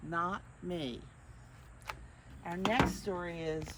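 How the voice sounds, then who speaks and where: A woman's fairly low voice comes through noticeable background noise. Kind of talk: children's story reading. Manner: warm, friendly.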